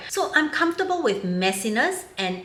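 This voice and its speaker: A woman at a moderate pace with lively intonation, with audible room echo. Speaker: video blogger. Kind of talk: commentary monologue.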